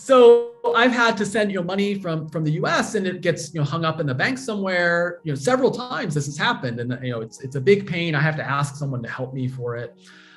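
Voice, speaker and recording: A man with an American accent talks at a very fast pace in a high voice, his pitch swinging very widely with hardly any pauses, over noticeable background noise. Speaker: crypto foundation education director. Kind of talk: interview. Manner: halting, many fillers and repeats.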